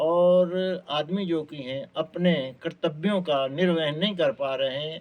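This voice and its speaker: This man's high pitch moves with ordinary variation. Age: 80s+. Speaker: retired lecturer. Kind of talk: interview. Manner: formal.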